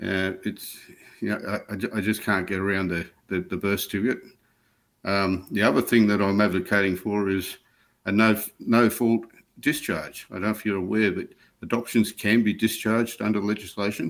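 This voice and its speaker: A man with an Australian accent speaks at a moderate pace with a fairly low pitch. His intonation is fairly even, and the recording is very clean with a silent background. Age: 60s. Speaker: adoptee advocate. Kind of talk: interview testimony. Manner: halting.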